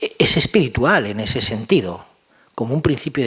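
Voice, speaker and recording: At a moderate pace, a man talks at a medium pitch with lively intonation. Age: 60s. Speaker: philosophy of education professor. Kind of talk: lecture answering audience question. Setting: university auditorium with audience. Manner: halting, with fillers and repetitions.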